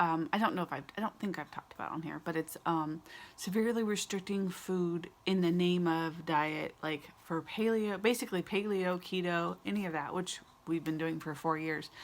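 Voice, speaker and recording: Soft-spoken and fairly low in pitch, a woman talks at a moderate pace with ordinary pitch variation. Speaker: vlogger. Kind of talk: casual chat. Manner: hesitant, many fillers.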